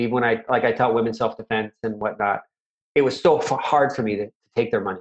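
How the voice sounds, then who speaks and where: Here a man talks at a very fast pace with a medium pitch and fairly even intonation. The sound is dry and close, without echo. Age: 50s. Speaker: martial arts instructor. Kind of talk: interview conversation. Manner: halting, many fillers.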